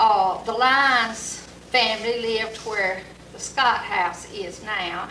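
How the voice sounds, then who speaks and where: A woman with an Alabama accent, fairly high in pitch and very slow, with audible room echo and noticeable background noise. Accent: Southern US (Alabama). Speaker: local resident recalling history. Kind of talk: oral history interview. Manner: halting.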